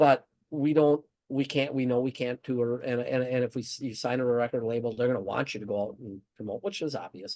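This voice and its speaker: This man talks at a fairly quick pace in an American accent. His voice sits at a medium pitch with a dark, mellow tone. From northern US. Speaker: thrash metal band member. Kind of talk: interview. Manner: halting, many restarts.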